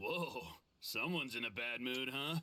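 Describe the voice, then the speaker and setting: Putting on a raspy character voice, a man speaks at a moderate pace and medium pitch with ordinary pitch variation. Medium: video game. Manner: laughing, flippant.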